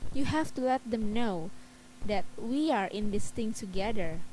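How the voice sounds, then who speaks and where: A woman speaks with an Indonesian accent at a fairly slow pace. Her pitch is medium, with ordinary pitch variation. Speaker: student presenter. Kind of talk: class presentation.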